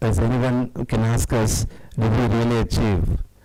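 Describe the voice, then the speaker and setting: Noticeable background noise sits behind a man at a medium pitch. He speaks at a moderate pace with fairly even intonation. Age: 60s. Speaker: guest speaker, social worker. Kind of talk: public talk to audience. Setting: hall with live audience. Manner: halting, many fillers.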